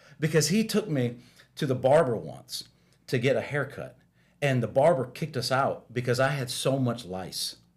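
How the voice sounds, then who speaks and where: Vocal fry runs through the man's voice. He keeps to a moderate pace. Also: medium pitch for a man, lively intonation. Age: 40s. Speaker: guest on faith podcast, pastor's son. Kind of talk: casual chat. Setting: podcast studio. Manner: halting, many fillers and repeats.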